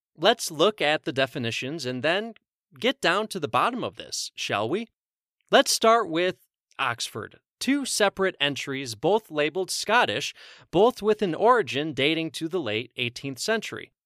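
At a moderate pace, a man speaks in a high, bright, sharp voice with very wide pitch swings, the sound dry and close with no echo on a very clean recording with a silent background. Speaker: podcast host.

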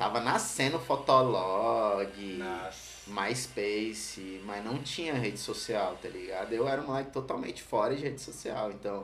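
Over noticeable background noise and an audible room echo, a man speaks at a medium pitch with fairly even intonation. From Brazil, Ceilândia (Federal District). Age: 30s. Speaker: skateboarder and streetwear brand owner. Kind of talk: casual chat.

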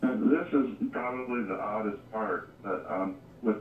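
The speaker is a man. His pitch moves in ordinary ways. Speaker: near-death experience guest. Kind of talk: interview. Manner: hesitant.

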